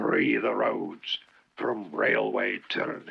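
A put-on character voice growls and rasps at a very slow pace. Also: man. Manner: fierce, growling.

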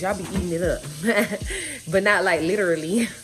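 A woman talks at a very fast pace over light background noise. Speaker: vlogger. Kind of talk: casual vlog chat. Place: kitchen. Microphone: phone near.

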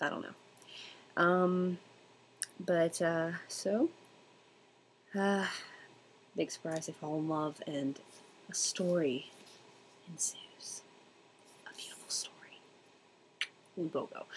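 Very slow, fairly low-pitched speech from a woman, fairly even in intonation, with long, frequent pauses. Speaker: book reviewer. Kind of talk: casual talk to camera. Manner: casual, hesitant.

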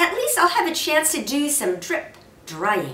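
In a put-on character voice, a woman speaks high-pitched and fairly bright at a fairly slow pace, her pitch swinging very widely amid audible room echo.

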